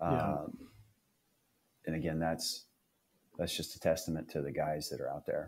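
A man with a Midwestern American accent speaks at a moderate pace. He leaves long, frequent pauses. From northeast Nebraska. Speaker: fitness group member. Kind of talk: casual interview.

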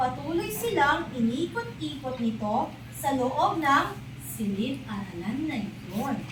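A woman speaks very slowly in a gentle tone. Noticeable background noise runs underneath. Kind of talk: bedtime storytelling, scripted narration with character voices. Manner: animated, expressive, changes voice for each character; gentle, slow and clear, child-friendly.

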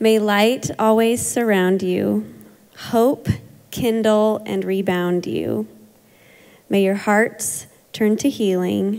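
A woman speaks at a very slow pace with fairly even intonation. Her pauses are long and frequent. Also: quiet background. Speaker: counseling center founder; event host. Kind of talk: event introduction. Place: church.

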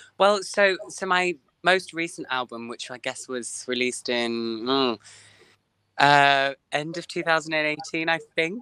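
A man with an English accent speaks at a very slow pace. The background is quiet and the sound is dry with no echo. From England. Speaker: singer. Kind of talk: interview. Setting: video call. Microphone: video call.

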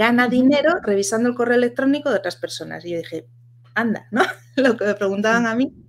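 This woman's voice sits fairly high. She talks fairly quickly. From Asturias, Spain. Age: 30s. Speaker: virtual assistant and community founder; podcast guest. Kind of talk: interview. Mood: relaxed, chatty. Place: home room.

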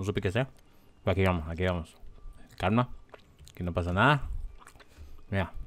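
With a very deep, low voice, a man talks at a fairly quick pace but breaks often for long pauses. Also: ordinary pitch variation. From California, US (Spanish-speaking Mexican-American background). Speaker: gaming YouTuber. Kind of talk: let's play commentary. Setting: home recording at computer. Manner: animated, exclamatory.

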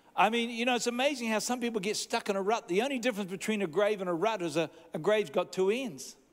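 Speaking at a fast pace, a man uses a high pitch with ordinary pitch variation.

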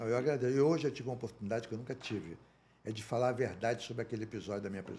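Speaking at a very fast pace, a man uses a medium pitch, ordinary pitch variation and a dark, mellow, somewhat breathy tone. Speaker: former football club president. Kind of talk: casual interview chat.

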